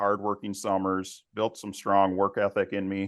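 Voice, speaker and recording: This man has a fairly low pitch and speaks at a moderate pace with a Minnesotan accent. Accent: Minnesota. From west central Minnesota. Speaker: family business executive. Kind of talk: interview.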